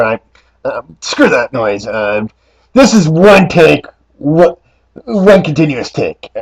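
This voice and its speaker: A man puts on a raspy character voice with very wide pitch swings. The sound is dry and close, with no echo. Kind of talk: casual talk to camera.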